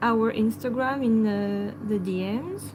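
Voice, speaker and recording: A woman with a French accent, with audible room echo. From France. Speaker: pet channel host. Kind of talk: live stream chat. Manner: halting.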